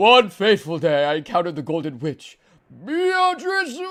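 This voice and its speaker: Putting on a character voice, a man talks at a moderate pace with a high pitch. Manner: dramatic storyteller.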